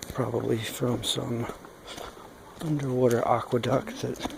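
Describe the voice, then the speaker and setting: Soft-spoken and at a fairly slow pace, a man talks over noticeable background noise. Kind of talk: ASMR hiking narration. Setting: outdoors.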